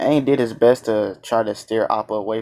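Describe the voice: What you hear is plain reading aloud.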